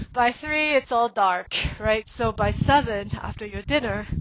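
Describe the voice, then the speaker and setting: Her voice is high for a woman, with lively intonation. Noticeable background noise runs beneath the woman's speech. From Singapore. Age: 40s. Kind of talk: personal monologue. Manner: casual, frequent fillers.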